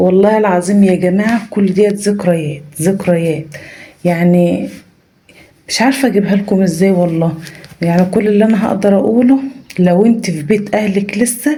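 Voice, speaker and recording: Noticeable background noise and audible room echo accompany a woman whose pitch varies in an ordinary way. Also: medium pitch for a woman, moderate pace, very even loudness. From rural Egypt. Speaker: family vlogger. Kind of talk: vlog. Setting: family home, early morning. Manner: soft-spoken, lowered voice; animated.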